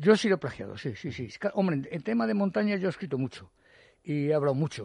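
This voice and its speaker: Against a quiet background, a man talks at a very fast pace in a fairly high pitch. His somewhat breathy voice swings very widely in pitch. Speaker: mountaineer and writer. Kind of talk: radio interview. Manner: halting, many repetitions.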